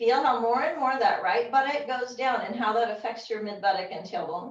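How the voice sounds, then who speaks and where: A woman with a fairly high pitch and an ordinary speaking voice, ordinary pitch variation, at a fairly quick pace. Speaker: yoga teacher. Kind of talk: yoga class instruction. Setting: video call. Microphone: low quality video call recording.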